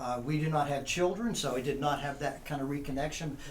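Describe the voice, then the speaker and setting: With audible room echo, a man with a fairly high pitch and a somewhat breathy voice talks at a fairly quick pace with ordinary pitch variation. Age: 60s. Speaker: college professor. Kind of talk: casual chat.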